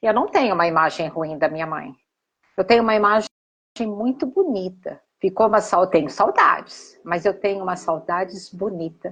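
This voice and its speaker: A woman's medium-pitched voice varies in an ordinary way while holding a moderate pace. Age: 60s. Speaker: therapist. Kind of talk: live stream conversation. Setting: Instagram live. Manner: halting.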